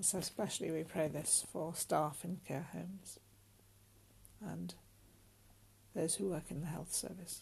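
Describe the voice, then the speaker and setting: Speaking with a British accent, a woman with fairly low pitch and vocal fry talks at a fairly slow pace with fairly even intonation and long, frequent pauses. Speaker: prayer leader. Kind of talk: fervent intercessory prayer, led aloud. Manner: earnest, solemn, imploring.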